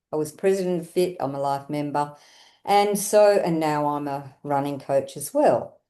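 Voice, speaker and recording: This woman speaks in an Australian accent with a very deep, low pitch and a dark, mellow tone. Her pace is moderate, her pitch variation ordinary, and her loudness swings widely over a quiet background. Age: 70s. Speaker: running coach. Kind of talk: casual interview.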